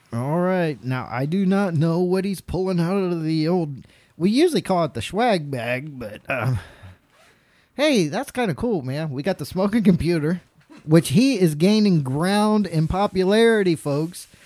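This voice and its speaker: In a Southern US accent, a man speaks at a moderate pace. His high voice has lively intonation. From North Carolina. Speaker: podcast host. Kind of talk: casual chat. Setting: studio.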